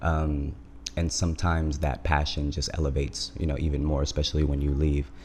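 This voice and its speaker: A man speaks at a fairly quick pace with a very deep, low pitch. His somewhat breathy voice has monotone, flat intonation. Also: very even loudness. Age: 20s. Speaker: music label founder. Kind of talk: casual chat. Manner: hesitant with frequent fillers.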